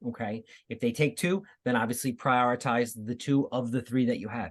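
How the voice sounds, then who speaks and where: The man's fairly quick speech sits against a quiet background. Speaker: school counselor. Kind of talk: informational presentation. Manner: fast.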